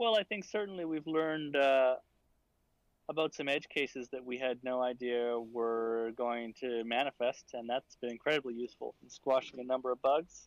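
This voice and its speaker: A man with an ordinary speaking voice talks at a moderate pace, with a medium pitch and ordinary pitch variation. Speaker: VR museum developer. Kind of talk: interview conversation.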